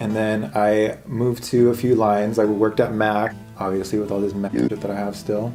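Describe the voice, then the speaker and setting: Over music in the background, a man with a fairly low pitch talks in a flat monotone with hardly any pauses. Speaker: makeup artist. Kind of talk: casual talk to camera.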